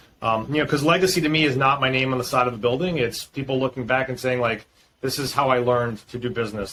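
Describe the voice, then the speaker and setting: Through noticeable background noise, a man talks at a very fast pace in a medium pitch. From Boston, US Northeast. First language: Greek. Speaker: startup founder and CEO. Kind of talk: interview.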